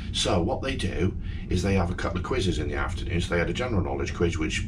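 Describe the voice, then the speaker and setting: Noticeable background noise sits behind the man's speech. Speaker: travel vlogger. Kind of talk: casual vlog chat. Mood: cheerful, chatty. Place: home room.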